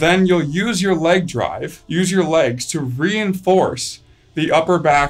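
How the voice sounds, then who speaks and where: A man's high voice, fairly slow and with ordinary pitch variation, over faint background music. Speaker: strength coach. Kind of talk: tutorial. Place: gym.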